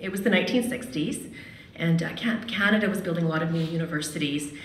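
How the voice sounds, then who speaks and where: A woman talks very fast in a fairly low voice with lively intonation. The room echo is audible, and light background noise sits behind her. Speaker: radio host and storyteller. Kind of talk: personal storytelling at a live event. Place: hall. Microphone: podium.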